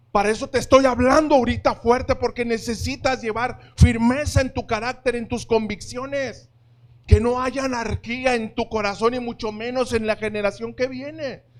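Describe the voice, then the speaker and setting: At a moderate pace, a man speaks in an extremely high voice with monotone, flat intonation. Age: 50s. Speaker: pastor. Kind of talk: sermon. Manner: firm, forceful tone.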